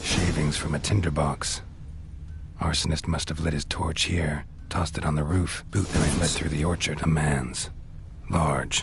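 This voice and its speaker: A cartoonish character voice from a man, at a moderate pace, against loud background noise. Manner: terse, deadpan.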